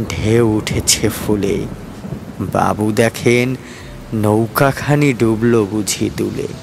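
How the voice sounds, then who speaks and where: A man's medium-pitched voice over background music. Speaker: poetry reciter. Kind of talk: poetry reading. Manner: clear, expressive.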